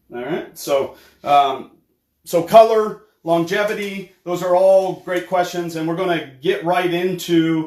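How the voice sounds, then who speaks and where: A loud, high male voice at a fairly slow pace. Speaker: hair care educator. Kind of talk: live product demonstration with Q&A. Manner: many fillers and hesitations.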